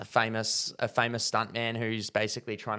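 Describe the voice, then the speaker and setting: A man with an Australian accent, in a very clean recording with a silent background. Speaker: movie review podcast host. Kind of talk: casual chat.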